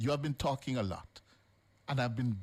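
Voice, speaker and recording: A man's somewhat breathy voice with a serious tone and ordinary pitch variation. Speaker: radio talk show host. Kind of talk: live radio talk show confrontation with a caller. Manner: firm, interrupting, then measured and serious.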